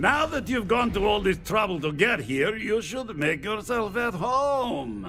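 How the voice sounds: A man's put-on character voice, high-pitched, at a fairly slow pace with big pitch swings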